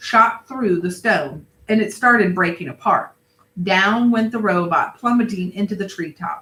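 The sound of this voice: Against a quiet background, ordinary pitch variation marks an unforced reading voice.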